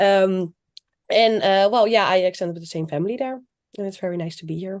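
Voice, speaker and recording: This woman has a Dutch accent and a medium pitch. Her intonation is lively. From Netherlands. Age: 20s. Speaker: former au pair. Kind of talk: live stream chat.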